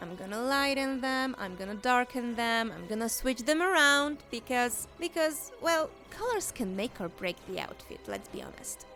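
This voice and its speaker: With music in the background, a woman in a Polish accent speaks at a moderate pace with a high pitch, lively intonation, big swings in loudness and hardly any pauses. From Poland. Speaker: digital artist. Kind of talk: speedpaint voiceover commentary. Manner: casual, some stammering.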